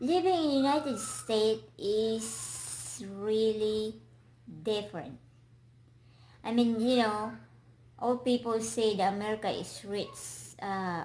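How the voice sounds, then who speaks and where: The speaker talks very slowly with a Filipino accent, the voice somewhat breathy and the intonation lively. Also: woman, fairly high pitch for a woman. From Philippines. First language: Filipino language. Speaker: vlogger. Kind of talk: casual interview. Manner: halting.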